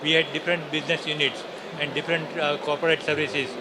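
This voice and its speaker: A man with a fairly high-pitched voice talks at a fairly quick pace over noticeable background noise. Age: 60s. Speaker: retired risk manager, startup founder. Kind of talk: interview. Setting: summit floor. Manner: halting.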